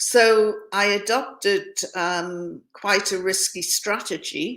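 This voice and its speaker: A woman with a northeast English accent speaks with fairly even intonation. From northeast England, near Scottish borders. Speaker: former journalist and hostage. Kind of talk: interview testimony.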